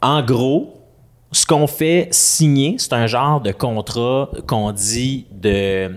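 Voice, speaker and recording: A man with a medium pitch and ordinary pitch variation talks very slowly. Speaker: podcast co-host. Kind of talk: casual chat.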